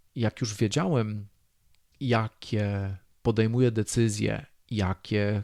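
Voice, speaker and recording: A man is heard on a very clean recording with a silent background, the sound dry and close with no echo. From Poland, rural. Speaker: podcast host, self-development coach. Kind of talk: solo podcast monologue.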